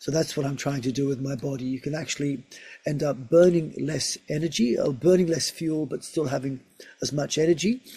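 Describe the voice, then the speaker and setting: A man speaks at a fairly quick pace with a fairly high pitch and fairly even intonation. His tone is dark and mellow, and somewhat breathy. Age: 60s. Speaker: physiotherapist and research scientist. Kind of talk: interview.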